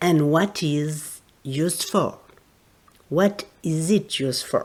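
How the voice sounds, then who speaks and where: A woman speaks very slowly in a French accent. Her pitch sits fairly low. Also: ordinary pitch variation. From France. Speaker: therapist and teacher. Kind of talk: educational podcast talk.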